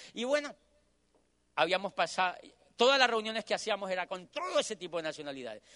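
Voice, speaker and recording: A man speaks in a raised, projected voice, high-pitched with a bright, sharp tone and lively intonation. His delivery is animated and very fast, broken by long, frequent pauses. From Colombia. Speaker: motivational speaker. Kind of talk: motivational talk. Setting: stage with audience.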